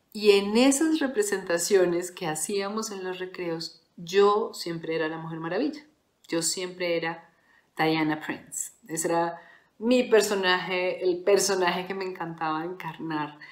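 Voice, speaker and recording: A woman at medium pitch speaks at a fairly slow pace with ordinary pitch variation and big swings in loudness, while audible room echo surrounds her. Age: 40s. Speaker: podcast host. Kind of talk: solo reflective monologue.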